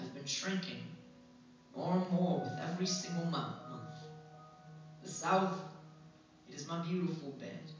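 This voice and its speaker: A man's fairly high-pitched voice at a fairly slow pace, with music in the background. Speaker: slam poet. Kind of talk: spoken word poetry performance. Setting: live venue.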